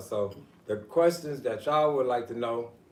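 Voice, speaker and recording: A man at medium pitch talks with fairly even intonation at a moderate pace. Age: young. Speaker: livestream host. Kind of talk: interview.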